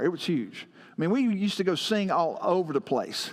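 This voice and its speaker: This man talks with a Southern US accent at a high pitch. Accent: country Southern US. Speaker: pastor. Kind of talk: sermon.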